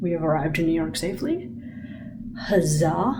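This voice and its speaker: A woman's fairly low voice with audible room echo and noticeable background noise. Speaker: vlogger. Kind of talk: travel vlog. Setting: hotel; airport. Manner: animated.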